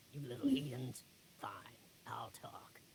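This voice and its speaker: A man does a put-on, growling character voice at a medium pitch and a fairly slow pace, with light background noise behind him. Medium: cartoon.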